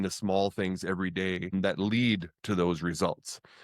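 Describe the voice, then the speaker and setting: A man with a plain, everyday voice speaks at a moderate pace, fairly low in pitch and fairly even in intonation. The recording is very clean with a silent background, dry and close with no echo. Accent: Canadian. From Canada. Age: 50s. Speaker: podcast host. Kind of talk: interview.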